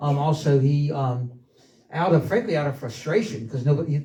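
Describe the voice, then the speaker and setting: This man speaks very fast with a South Carolina accent and a fairly high pitch. His tone is dark, mellow and somewhat breathy, with fairly even intonation. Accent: US Southern (South Carolina). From South Carolina coast. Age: 60s. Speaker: local history speaker, son of former mayor. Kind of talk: public talk. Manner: halting, many fillers.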